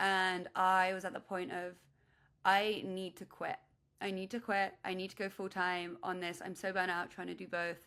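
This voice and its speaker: A woman speaks loudly in a bright, sharp tone at medium pitch and a moderate pace. Her intonation is monotone and flat, and the recording is very clean with a silent background. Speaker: startup founder. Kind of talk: interview.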